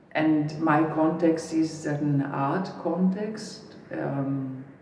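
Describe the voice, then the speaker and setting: A woman with a very deep, low voice is heard amid audible room echo and noticeable background noise. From northern Italy, near the Adriatic coast. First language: Italian. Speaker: artist and researcher. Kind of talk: interview monologue. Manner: hesitant, with fillers and restarts.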